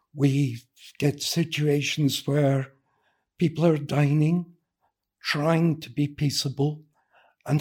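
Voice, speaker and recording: A somewhat breathy man at a fairly high pitch, very slow pace and fairly even intonation. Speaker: architect and researcher. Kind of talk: casual interview chat. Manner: soft-spoken.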